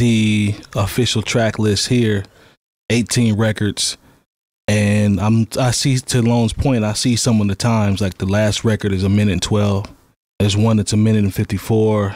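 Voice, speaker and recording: Recorded dry with no echo against a quiet background, a man speaks at a moderate pace and a fairly low pitch. His intonation is monotone and flat, and his loudness stays very even. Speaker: hip hop podcast panelist; podcast host. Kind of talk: casual chat. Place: studio. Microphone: studio mic.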